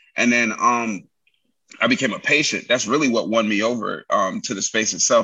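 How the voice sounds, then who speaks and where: A man with a New York accent. He talks at a fairly quick pace. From New York, Brooklyn. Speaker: military veteran and entrepreneur. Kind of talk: casual interview.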